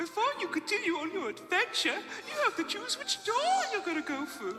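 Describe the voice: A cartoonish character voice talks at a fairly quick pace. Clear echo surrounds it, and clear music plays in the background.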